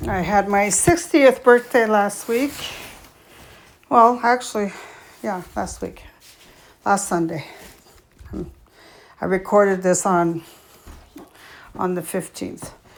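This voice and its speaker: Delivered at a very slow pace with long, frequent pauses, the speech has lively intonation and big swings in loudness. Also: woman, medium pitch for a woman. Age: 60s. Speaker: vlogger. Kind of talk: casual chat. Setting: home gym. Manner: hesitant, many fillers.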